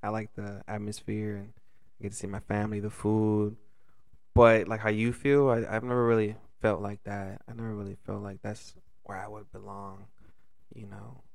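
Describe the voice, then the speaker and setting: With an American accent, a man speaks in a fairly low, monotone voice with flat intonation, long and frequent pauses, and audible room echo. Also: moderate pace. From Los Angeles, California. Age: 20s. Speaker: restaurant server. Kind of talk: casual chat.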